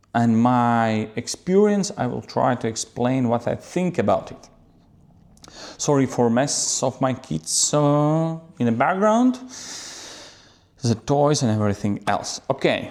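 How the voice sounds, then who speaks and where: At a very slow pace, a man with a non-native accent speaks in a medium pitch with lively intonation and long, frequent pauses. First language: not English. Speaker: photographer. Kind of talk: camera talk to viewers. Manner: halting.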